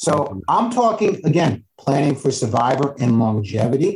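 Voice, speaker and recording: In an American accent, a man speaks at a fairly slow pace, somewhat breathy, with very wide pitch swings. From New York, Westchester County. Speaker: financial advisor. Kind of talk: interview.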